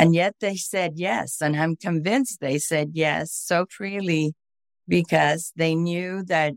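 A woman with a fairly low pitch talks at a fairly slow pace, using ordinary pitch variation. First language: Spanish. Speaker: author. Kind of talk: interview conversation.

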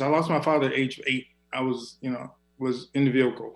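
An American accent marks this man's unremarkable speaking voice, which has medium pitch, fairly even intonation and a moderate pace. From South Carolina. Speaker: businessman. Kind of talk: panel discussion.

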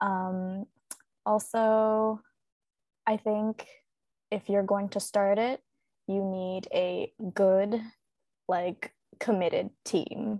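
Very slow and monotone, the voice has a dark, mellow tone, flat intonation, long, frequent pauses and a dry, close sound with no echo. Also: woman, medium pitch for a woman. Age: 20s. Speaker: fan event organizer. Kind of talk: casual chat. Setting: video call.

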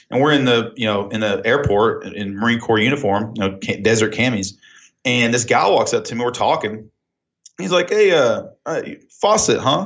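The man's medium-pitched voice rises and falls with lively intonation. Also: moderate pace. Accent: Oklahoma. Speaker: entrepreneur and business consultant. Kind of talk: casual phone chat. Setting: phone call.

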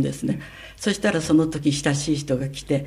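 The voice is somewhat breathy. Audible room echo can be heard. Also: woman. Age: 90s. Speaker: sex educator and scriptwriter. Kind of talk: interview.

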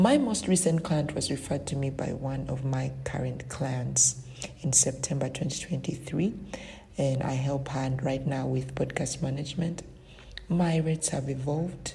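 A woman's very deep, low voice with fairly even intonation at a moderate pace, with audible room echo and noticeable background noise. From Uganda. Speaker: virtual assistant business owner. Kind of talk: recorded interview answers.

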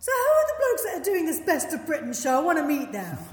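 A put-on character voice, extremely high-pitched and very fast, with a clear echo

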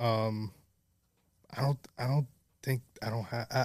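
At a moderate pace, a man of medium pitch speaks with a New York accent and fairly even intonation in a very clean recording with a silent background. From New York City, the Bronx. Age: 20s. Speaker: photographer. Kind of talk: casual chat. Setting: studio.

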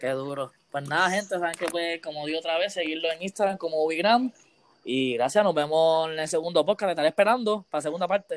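At a very fast pace, a man talks in a high pitch with ordinary pitch variation, the sound dry and close with no echo. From Puerto Rico, Aguas Buenas. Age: 20s. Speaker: podcast host. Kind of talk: casual interview.

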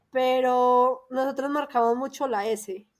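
A woman talks at a very slow pace in a high pitch, with a paisa Colombian accent. The recording is very clean, with a silent background. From Colombia, Antioquia (paisa). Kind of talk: casual chat.

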